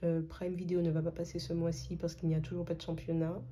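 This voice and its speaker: A woman speaks with a dark, mellow tone at a fairly low pitch. Her voice is somewhat breathy. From Martinique. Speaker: budgeting youtuber. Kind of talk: casual vlog tutorial. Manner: hesitant, many filler sounds.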